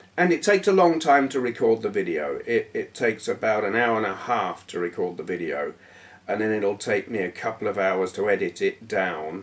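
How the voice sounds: A man talks at a moderate pace with lively intonation and a fairly low pitch for a man.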